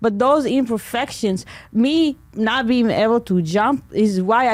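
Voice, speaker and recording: A woman with an Israeli accent speaks at a fairly slow pace in a fairly high voice with lively intonation. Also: very clean recording, silent background. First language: Hebrew. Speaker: comedian. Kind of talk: podcast interview. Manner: halting.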